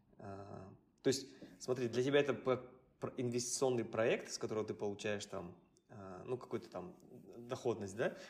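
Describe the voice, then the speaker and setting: The man's voice shows ordinary pitch variation. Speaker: podcast co-host. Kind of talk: podcast interview.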